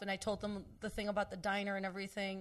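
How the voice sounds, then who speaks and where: Talking at a very fast pace, a woman with a Spanish accent keeps to a medium pitch. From Texas. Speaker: comedian. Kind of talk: casual chat.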